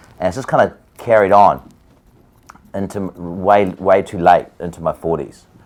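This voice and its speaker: Here a man with a New Zealand accent and a very deep, low pitch speaks at a moderate pace, with ordinary pitch variation. His loudness swings widely, and he takes long, frequent pauses. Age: 40s. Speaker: musician. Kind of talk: casual chat. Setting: hair salon chair during a haircut.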